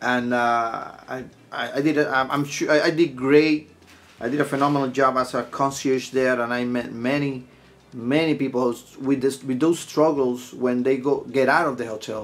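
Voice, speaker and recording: With a Puerto Rican accent, a man speaks at a medium pitch and a moderate pace in a flat monotone. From Puerto Rico. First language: Spanish. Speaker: podcast host, mobile bar owner, hospitality worker. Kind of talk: casual podcast monologue. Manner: halting, with many restarts.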